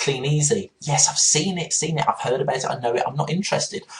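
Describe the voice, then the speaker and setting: A man's voice comes across as somewhat breathy. It is medium in pitch. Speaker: internet marketing trainer. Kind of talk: webinar-style training presentation. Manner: fast.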